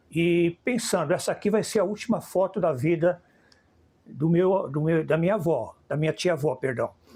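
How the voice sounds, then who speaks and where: At a moderate pace, a man talks with a high pitch, a dark, mellow tone, ordinary pitch variation and very even loudness. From Brazil, São Paulo. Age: 70s. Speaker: filmmaker. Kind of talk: interview.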